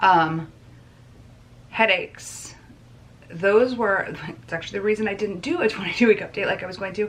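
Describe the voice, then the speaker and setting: Noticeable background noise behind a woman's medium-pitched voice, with big swings in loudness, ordinary pitch variation, and long, frequent pauses. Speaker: vlogger. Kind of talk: casual vlog talk. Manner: fast.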